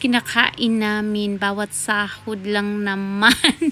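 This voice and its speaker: A woman talks in a fairly high voice while noticeable background noise continues behind her. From Philippines. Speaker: vlogger. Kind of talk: casual vlog talk.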